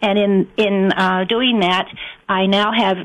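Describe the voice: At a moderate pace, a woman speaks with a fairly bright tone, medium pitch and fairly even intonation.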